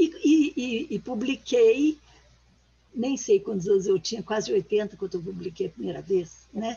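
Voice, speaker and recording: A woman's somewhat breathy, fairly high voice, fairly slow, with lively intonation. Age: 80s+. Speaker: author and retired teacher. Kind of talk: interview conversation.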